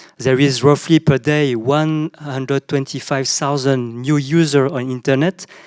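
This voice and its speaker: In a very clean recording with a silent background, the speaker talks with a French accent. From southern France. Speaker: panelist, CEO of an Asia business network. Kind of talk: panel discussion. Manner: halting, many fillers and repetitions.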